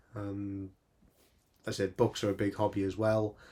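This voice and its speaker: A man speaks with a fairly low pitch. His intonation is flat and monotone. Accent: Welsh. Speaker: retro gaming youtuber. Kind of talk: casual video monologue. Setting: small home room. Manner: fast; hesitant, repeats words.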